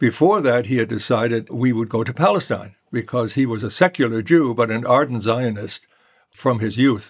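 In a German accent, a man speaks with ordinary pitch variation. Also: medium pitch for a man, moderate pace. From Germany (Hesse, near Darmstadt), emigrated to US as child. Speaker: law professor. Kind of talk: interview storytelling.

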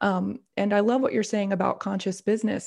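Against a quiet background, a woman with an American accent talks at a medium pitch in an ordinary speaking voice. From US South. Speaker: intuition coach and business owner. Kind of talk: interview conversation.

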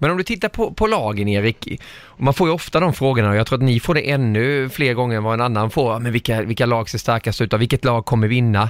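A man talks at a very fast pace with hardly any pauses, his loudness very even, in a dry, close sound with no echo. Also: medium pitch for a man, ordinary pitch variation. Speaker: podcast host. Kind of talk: casual chat.

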